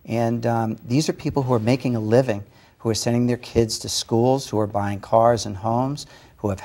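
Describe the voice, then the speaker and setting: A man of medium pitch with an American accent talks at a fairly quick pace, his dark, mellow tone carrying fairly even intonation. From Massachusetts. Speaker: film studio executive. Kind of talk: TV talk show interview. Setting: studio.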